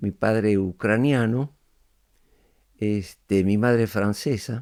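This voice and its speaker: Speaking at a very slow pace, a man uses fairly low pitch with ordinary pitch variation. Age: 90s. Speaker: podcast guest, elder reflecting on life. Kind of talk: interview conversation. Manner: reflective, hesitant with fillers.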